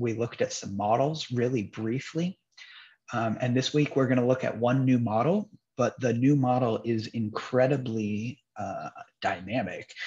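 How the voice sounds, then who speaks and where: A man with a somewhat breathy voice speaks at a moderate pace with ordinary pitch variation against a quiet background. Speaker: instructor. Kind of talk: lecture. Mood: upbeat, light-hearted. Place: home room. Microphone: webcam.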